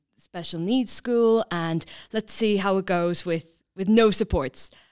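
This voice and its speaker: A woman with an Irish accent at a fairly slow pace. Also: very clean recording, silent background. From Ireland, County Kilkenny. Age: 20s. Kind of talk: interview. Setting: studio.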